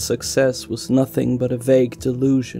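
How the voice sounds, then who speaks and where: A man speaks at a medium pitch and a fairly slow pace, with music in the background. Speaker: tabletop RPG lore narrator. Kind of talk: lore narration video. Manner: low-energy, subdued.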